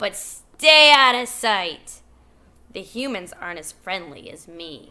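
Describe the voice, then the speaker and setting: Putting on a character voice, a woman speaks at a fairly slow pace and medium pitch, sounding raspy and gruff. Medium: read story.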